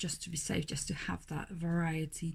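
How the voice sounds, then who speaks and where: Somewhat breathy and dark, mellow in tone, a woman's voice moves at moderate speed. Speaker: newborn photographer. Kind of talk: video blog tutorial. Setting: home studio.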